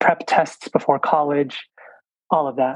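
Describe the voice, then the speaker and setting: Fairly high in pitch, a man speaks with an American accent and monotone, flat intonation. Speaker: entrepreneur and plant medicine retreat founder. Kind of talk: interview conversation. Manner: halting, many fillers.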